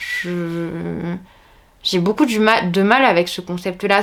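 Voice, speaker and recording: The speaker is a woman. She goes at a very slow pace. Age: 30s. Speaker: teacher and book vlogger. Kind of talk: casual vlog chat. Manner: hesitant, many fillers.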